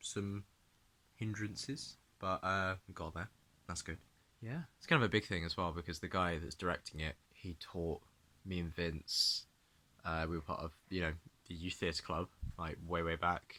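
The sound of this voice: Long, frequent pauses break up a bright, sharp tone delivered with fairly even intonation. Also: man, low pitch for a man, moderate pace.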